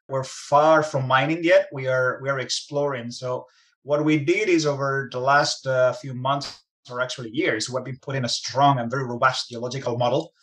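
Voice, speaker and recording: A man speaks with a Spanish accent. His intonation stays fairly even. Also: medium pitch for a man, moderate pace. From Spain. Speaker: mining company executive. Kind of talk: interview.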